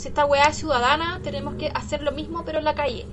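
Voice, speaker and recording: A woman talks at a fairly quick pace with audible room echo and noticeable background noise. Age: 30s. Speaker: podcast co-host and art teacher. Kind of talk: casual chat.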